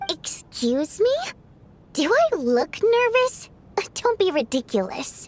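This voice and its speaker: In a put-on character voice, a woman speaks at an extremely high pitch with very wide pitch swings, a fairly slow pace and long, frequent pauses. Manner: defensive, indignant.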